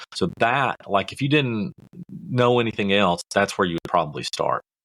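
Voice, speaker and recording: In a Kentucky accent, a man speaks at a moderate pace with a bright, sharp tone and ordinary pitch variation, the sound dry and close with no echo on a very clean recording with a silent background. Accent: Southern US (Kentucky). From US South, rural Kentucky. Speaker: podcast host, marketing coach. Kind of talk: podcast tutorial. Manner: casual, folksy with fillers.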